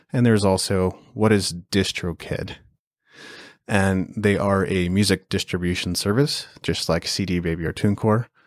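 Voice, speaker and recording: A man with a Canadian accent speaks in a plain, everyday voice, fairly low in pitch. His intonation is fairly even and his pace moderate, on a very clean recording with a silent background. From Canada. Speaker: podcast host. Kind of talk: solo podcast update, scripted-casual monologue. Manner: conversational, informal.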